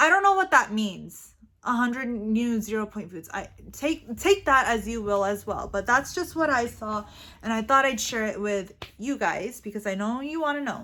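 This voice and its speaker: With a non-native accent, the speaker talks at a fairly slow pace in an animated, bright, sharp tone with lively intonation. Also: woman. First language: not English. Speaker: weight-loss vlogger. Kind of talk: casual vlog monologue. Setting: studio.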